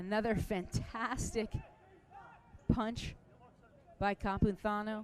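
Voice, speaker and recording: Very slow speech in an American accent, broken by long, frequent pauses. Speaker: color commentator. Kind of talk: live commentary.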